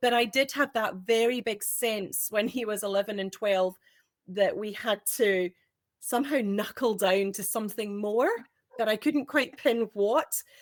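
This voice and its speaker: A woman with a Scottish accent speaks at a fairly slow pace. Her pitch is fairly high, with ordinary pitch variation. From Scotland. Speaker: homeschooling parent. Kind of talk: panel discussion.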